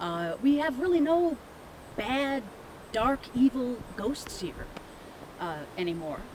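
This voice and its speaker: Against noticeable background noise, a woman with an American accent speaks at a very slow pace and a high pitch, with very wide pitch swings and long, frequent pauses. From Midwest US. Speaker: ghost tour guide. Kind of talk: interview answer.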